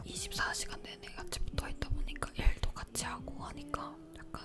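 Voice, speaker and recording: The speech is whispered at a moderate pace. There is noticeable noise in the background. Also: woman. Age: 20s. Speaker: YouTuber. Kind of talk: casual talk to camera about relationships, ASMR-style chat. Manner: soft, intimate, chatty.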